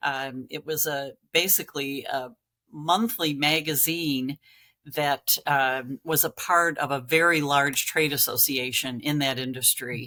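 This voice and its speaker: A woman's very deep, low voice, bright and sharp in tone, at a fairly slow pace with fairly even intonation. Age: 60s. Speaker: magazine publisher. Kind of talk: interview. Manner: hesitant, many fillers.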